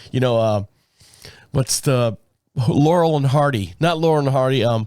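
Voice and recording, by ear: At a moderate pace, a man speaks with a medium-pitched, raspy, slightly mellow voice and ordinary pitch variation.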